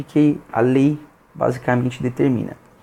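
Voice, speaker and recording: A soft-spoken man's voice, fairly high-pitched, at a moderate pace with fairly even intonation. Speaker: youtuber. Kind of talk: explainer monologue. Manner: halting.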